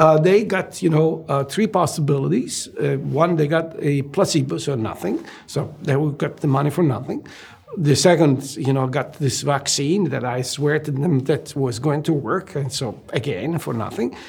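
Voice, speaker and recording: An Italian accent at a moderate pace, with ordinary pitch variation and noticeable background noise. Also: man, fairly high pitch for a man. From southern Italy (Naples). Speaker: medical researcher, gastroenterologist. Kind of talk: interview. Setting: studio. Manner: hesitant, with many fillers.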